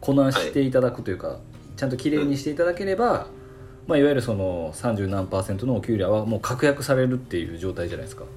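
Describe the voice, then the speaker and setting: Music plays in the background as a man of medium pitch talks at a very fast pace with lively intonation. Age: 40s. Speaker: salon owner podcast host. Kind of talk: casual chat. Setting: video call.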